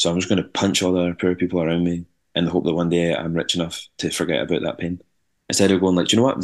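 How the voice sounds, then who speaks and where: Over a quiet background, a man with a very deep, low pitch talks at a very fast pace. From Scotland, Ayrshire. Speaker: rock band singer. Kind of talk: casual interview chat.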